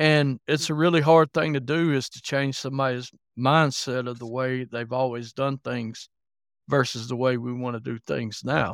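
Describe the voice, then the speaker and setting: On a very clean recording with a silent background and a dry, close sound with no echo, a man with a Southern US accent speaks at a moderate pace and medium pitch, with fairly even intonation and big swings in loudness. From Alabama, US. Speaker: consulting manager.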